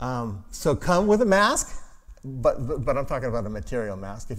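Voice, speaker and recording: Audible room echo surrounds a man's voice. He speaks at a fairly quick pace with lively intonation. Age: 60s. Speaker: pastor. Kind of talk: sermon. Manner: halting.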